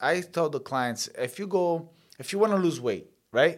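Against a silent background in a very clean recording, a man speaks at a moderate pace in an ordinary speaking voice with lively intonation. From Sicily, Italy, then Canada from childhood. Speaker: mortgage agent and former pro boxer. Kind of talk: interview.

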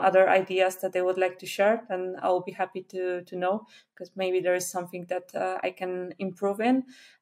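With a Polish accent, a woman at medium pitch talks at a moderate pace with hardly any pauses, her intonation monotone and flat while her loudness swings widely. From Poland. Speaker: Flutter developer and conference speaker. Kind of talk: casual interview. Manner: hesitant, many fillers.

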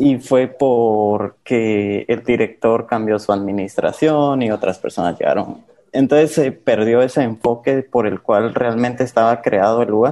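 A man's medium-pitched voice, dark and mellow in tone, at a fairly slow pace with hardly any pauses and fairly even intonation. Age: 20s. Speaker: former orphanage resident. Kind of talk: interview testimony.

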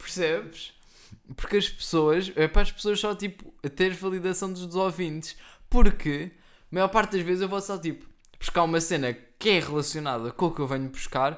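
The recording is very clean, with a silent background. A high-pitched man speaks at a moderate pace. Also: ordinary pitch variation. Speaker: podcast co-host. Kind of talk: casual chat.

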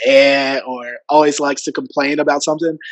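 A man with a Memphis accent talks at a moderate pace and a fairly high pitch. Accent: Southern US (Memphis). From US South, Memphis Tennessee area. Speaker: student and content creator. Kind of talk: casual interview. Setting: video call.

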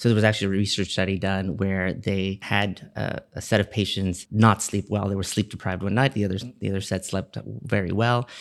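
In a very clean recording with a silent background, a man with a plain, everyday voice speaks at a fairly quick pace and fairly low pitch. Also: fairly even intonation. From Miami, Florida. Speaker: pediatrician. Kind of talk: podcast interview.

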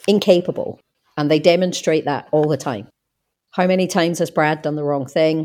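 A woman with an Australian accent speaks at a moderate pace, her very deep, low pitch carrying a dark, mellow tone and ordinary pitch variation. The recording is very clean, with a silent background. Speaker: podcast co-host. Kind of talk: casual chat. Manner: hesitant, repeats words.

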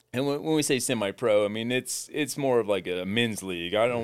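A man with an American accent has an unremarkable speaking voice at medium pitch, with lively intonation and a moderate pace. The recording is very clean with a silent background. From US Midwest (rural southeastern Ohio). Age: 40s. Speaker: former athlete and bull rider. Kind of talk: interview testimony.

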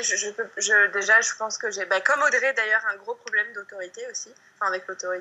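Over noticeable background noise, a woman speaks at a fairly high pitch and a fairly quick pace with fairly even intonation. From southern France, countryside. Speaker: yoga teacher and blogger. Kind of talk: casual interview. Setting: video call. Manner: halting, many repetitions and fillers.

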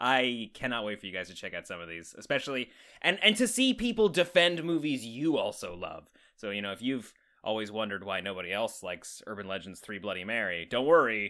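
On a very clean recording with a silent background, a man at medium pitch talks at a fairly quick pace with a bright, sharp tone, lively intonation and big swings in loudness. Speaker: podcast co-host. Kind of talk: casual film review chat.

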